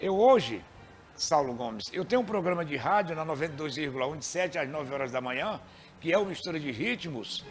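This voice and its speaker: A man's fairly high voice, fairly quick and lively in intonation, over music in the background. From Maranhão, Brazil. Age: 60s. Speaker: radio presenter. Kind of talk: interview.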